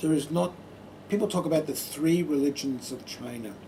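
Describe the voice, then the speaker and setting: Here a man speaks at a fairly high pitch with an Australian accent. His pitch swings very widely. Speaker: Buddhist monk. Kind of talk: public talk.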